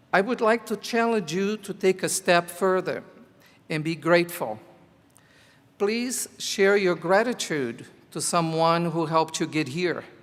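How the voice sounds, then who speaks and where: A man speaks with a Portuguese accent at a fairly slow pace. His pitch variation is ordinary. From Brazil. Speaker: teacher. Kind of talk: commencement speech. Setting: graduation ceremony.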